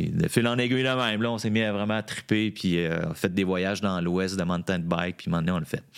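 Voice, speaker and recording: A man talks in a normal speaking voice at a fairly low pitch, with ordinary pitch variation. His pace is fairly quick, with hardly any pauses. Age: 50s. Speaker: former bike shop owner. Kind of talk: casual chat.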